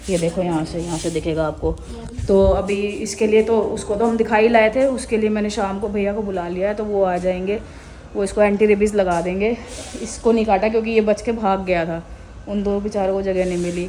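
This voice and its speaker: A woman with a medium-pitched voice talks at a moderate tempo. Her intonation stays fairly even, and background noise is clearly audible. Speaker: vlogger. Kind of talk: casual vlog narration.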